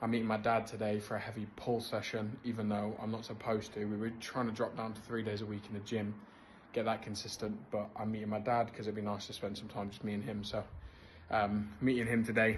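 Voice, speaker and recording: A somewhat breathy, fairly low-pitched man with an English accent, fairly quick pace and monotone, flat intonation in audible room echo. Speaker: business co-founder vlogger. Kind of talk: casual vlog update.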